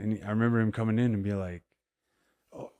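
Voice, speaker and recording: At a fairly quick pace, a man speaks in an American accent with a dark, mellow tone. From Colorado, US. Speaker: professional MMA fighter. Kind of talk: casual interview chat.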